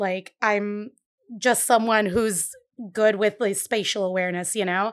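A woman with a Puerto Rican accent speaks at a fairly slow pace in a very clean recording with a silent background. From Puerto Rico. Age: 30s. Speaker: bakery owner. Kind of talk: casual interview. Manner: vibrant.

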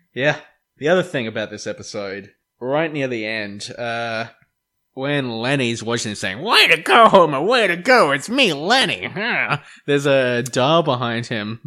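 A man with an Australian accent and a bright, sharp tone speaks at a medium pitch with lively intonation and a fairly slow pace, on a very clean recording with a silent background. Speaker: podcast co-host. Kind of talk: casual chat.

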